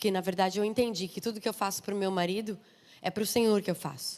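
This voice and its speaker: A woman with a southern Brazilian accent, medium in pitch, with ordinary pitch variation. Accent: southern Brazilian accent, noticeable. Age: 30s. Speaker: missionary and preacher. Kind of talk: sermon. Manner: informal, chatty.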